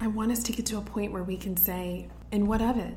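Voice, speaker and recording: With an American accent, a woman talks at a fairly quick pace amid audible room echo and noticeable background noise. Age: 30s. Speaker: podcast host. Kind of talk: solo pep talk.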